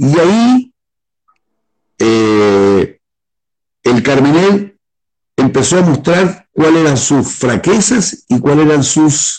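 A fairly high-pitched man's voice at a very slow pace, with very wide pitch swings and long, frequent pauses. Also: very even loudness. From Chile. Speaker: winemaker. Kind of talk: casual interview.

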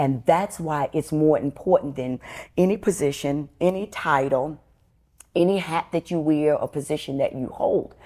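In a New York accent, a woman speaks at a moderate pace with ordinary pitch variation. Her very deep, low voice has a dark, mellow tone, on a very clean recording with a silent background. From New York City, Bronx. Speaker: preacher. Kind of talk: interview. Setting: on location in Richmond, Virginia.

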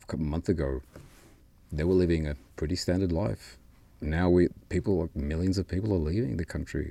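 A man with an Australian accent, very deep and low in pitch, with a dark, mellow tone, ordinary pitch variation and a fairly quick pace. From Peru, raised in Australia. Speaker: university administrator. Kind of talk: casual chat.

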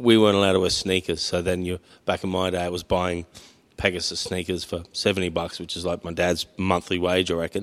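Over a silent background in a very clean recording, a man with a very deep, low pitch speaks fairly quickly in an Australian accent, his intonation monotone and flat. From Mildura, Victoria, Australia. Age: 50s. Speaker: podcast host. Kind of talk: casual interview. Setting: barber shop.

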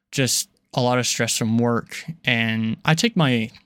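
A man's plain, everyday voice at medium pitch with ordinary pitch variation, in a very clean recording with a silent background. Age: young. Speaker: podcast host. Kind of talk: personal monologue. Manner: casual, with frequent filler words.

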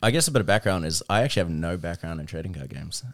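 A man speaks with a New Zealand accent and ordinary pitch variation. The recording is very clean, with a silent background. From New Zealand, South Auckland. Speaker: card game company marketing staffer. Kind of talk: casual chat.

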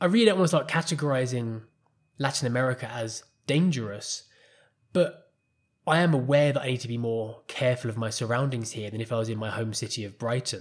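A man with an English accent, somewhat breathy, at a medium pitch and a fairly quick pace, with ordinary pitch variation, on a very clean recording with a silent background. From England. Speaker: podcast host and life coach. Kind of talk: solo podcast monologue.

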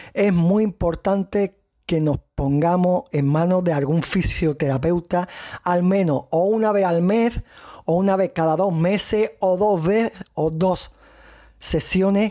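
A dark, mellow tone in a strong Andalusian accent, with very even loudness and a fairly slow pace. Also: man. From Andalusia, Cádiz province, Spain. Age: 30s. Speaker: podcast host, kidney patient. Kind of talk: solo podcast monologue. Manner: halting.

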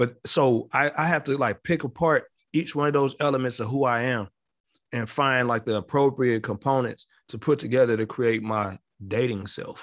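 In a very clean recording with a silent background, a man with a medium-pitched voice talks at a moderate pace with ordinary pitch variation. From Chicago. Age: 40s. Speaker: relationship advice guest. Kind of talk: casual chat.

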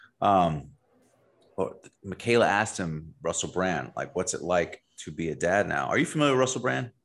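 A man with a very deep, low voice and vocal fry talks at a moderate pace. His pitch swings very widely against a quiet background. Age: 30s. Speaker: podcast host. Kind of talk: casual interview chat.

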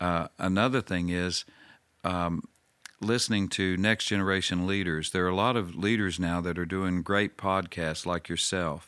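A man's very deep, low pitch and bright, sharp tone in a very clean recording with a silent background. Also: fairly even intonation, moderate pace. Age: 60s. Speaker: pastor and church overseer. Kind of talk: interview conversation. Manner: halting.

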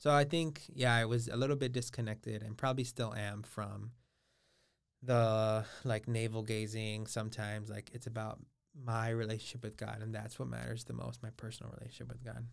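A man with an American accent speaks at a fairly quick pace in an ordinary speaking voice, with medium pitch and fairly even intonation. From Los Angeles, California (Boyle Heights). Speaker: university administrator. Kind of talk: interview conversation.

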